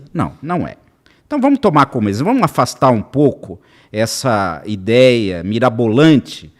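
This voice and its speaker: Against a very clean recording and silent background, a man speaks at a medium pitch and a moderate pace. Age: 60s. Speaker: lawyer and legal consultant. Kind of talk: podcast interview. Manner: animated.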